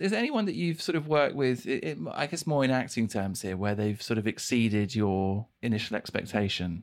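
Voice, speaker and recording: Lively in intonation, a man with an unremarkable speaking voice talks fairly quickly at a medium pitch. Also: very clean recording, silent background. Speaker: podcast host. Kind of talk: interview.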